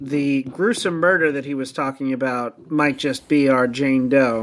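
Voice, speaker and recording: A man's unremarkable speaking voice, fairly high in pitch, at a fairly slow pace. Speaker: tabletop game player. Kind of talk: tabletop role-play.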